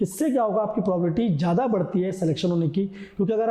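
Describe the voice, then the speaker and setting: Through audible room echo and noticeable background noise, a man speaks in a high pitch with ordinary pitch variation. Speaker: coaching teacher. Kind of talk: exam prep lecture. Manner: casual, conversational teaching.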